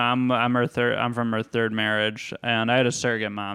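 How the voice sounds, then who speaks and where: A man with a plain, everyday voice, at a fairly quick pace. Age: 30s. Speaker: comedian. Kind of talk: casual chat.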